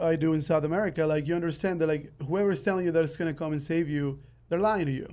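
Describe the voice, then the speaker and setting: Talking at a very fast pace, a man with a high pitch keeps his intonation fairly even. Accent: Spanish. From Ecuador. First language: Spanish. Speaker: podcast host. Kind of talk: interview podcast. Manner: halting, many fillers.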